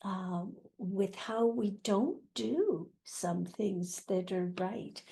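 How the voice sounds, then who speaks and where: A woman's medium-pitched, dark and mellow voice, somewhat breathy, at a very slow pace with ordinary pitch variation. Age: 80s+. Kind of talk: interview answer.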